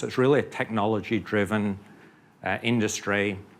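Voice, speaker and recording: A man speaks with a British accent at a fairly low pitch, in a monotone with flat intonation. The recording is very clean, with a silent background. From UK. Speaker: oil company geoscientist executive. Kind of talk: conference panel talk.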